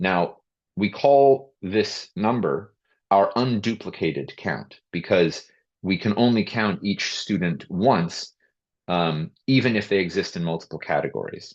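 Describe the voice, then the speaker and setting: In a normal speaking voice, a man talks with a fairly low pitch and lively intonation over a quiet background. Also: fairly slow pace. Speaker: school district administrator. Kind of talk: webinar presentation. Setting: video call.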